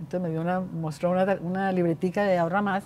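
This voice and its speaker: Light background noise sits behind a woman speaking at a moderate pace. Her tone is dark and mellow. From Colombia. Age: 70s. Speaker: bank founder; interview guest. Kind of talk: interview. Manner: halting. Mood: reflective, candid. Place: hall.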